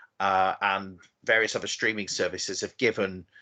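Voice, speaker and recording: Speaking at a fairly slow pace, a man with an English accent is heard against a quiet background. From southern England, Oxford. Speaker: novelist. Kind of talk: interview.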